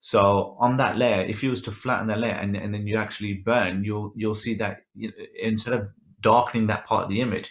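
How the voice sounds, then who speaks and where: The speaker has a Birmingham accent and a monotone, flat intonation. The pace is fairly quick over a quiet background. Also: man. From England. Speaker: photographer and photo editing instructor; photo editing instructor. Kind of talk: tutorial with live Q and A. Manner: casual, many filler ums. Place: home room. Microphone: webcam.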